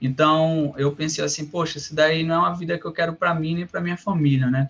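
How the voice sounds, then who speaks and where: Fairly high male voice, intonation fairly even. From Brazil, Rio Grande do Norte. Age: 30s. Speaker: software developer. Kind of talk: interview. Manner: halting, many fillers and repetitions.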